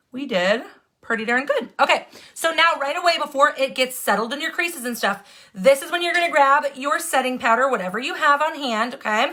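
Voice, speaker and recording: A woman's high, raised and projected voice with an American accent, bright and sharp in tone, lively in intonation, at a fairly quick pace. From Wisconsin. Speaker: makeup tutorial livestreamer. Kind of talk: live makeup tutorial. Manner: fast.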